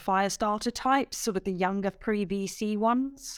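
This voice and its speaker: A woman's plain, everyday voice at medium pitch, lively in intonation, on a very clean recording with a silent background. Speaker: podcast host. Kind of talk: interview.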